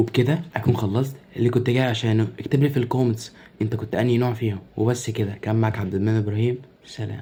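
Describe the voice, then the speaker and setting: Speaking quietly and very fast with an Egyptian accent, a man keeps a medium pitch and fairly even intonation amid noticeable background noise. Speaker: content creator. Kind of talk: comedy sketch monologue. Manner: quiet, lowered voice.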